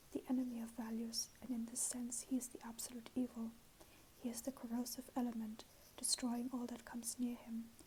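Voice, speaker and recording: A soft-spoken woman speaks at a high pitch and a moderate pace. Her intonation is monotone and flat. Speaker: ASMR creator. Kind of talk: ASMR book reading.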